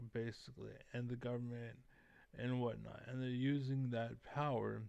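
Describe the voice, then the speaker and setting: A man's medium-pitched, flat monotone at a moderate pace, with audible room echo. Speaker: YouTuber giving commentary. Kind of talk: casual monologue rant. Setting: at home with family nearby. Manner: soft-spoken, talking quietly; halting, many fillers.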